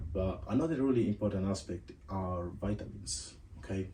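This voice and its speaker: Speaking with a non-native accent, a man talks at a moderate pace with a fairly low pitch. His tone is dark and mellow, and somewhat breathy. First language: not English. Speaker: podcast host. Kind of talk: casual monologue. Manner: casual, conversational.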